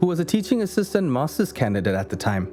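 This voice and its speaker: With music in the background, a man speaks in very wide pitch swings. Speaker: amateur narrator. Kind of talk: story narration for short film.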